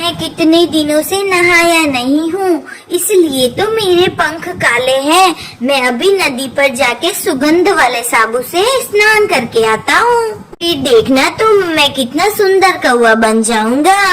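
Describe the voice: A woman in a cartoonish character voice, extremely high in pitch, moves at a fairly slow pace with hardly any pauses over clear background noise.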